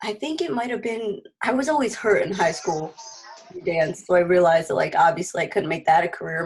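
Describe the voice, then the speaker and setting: A woman's somewhat breathy, medium-pitched voice with lively intonation at a moderate pace. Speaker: physical therapy student. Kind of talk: casual group introductions on video call.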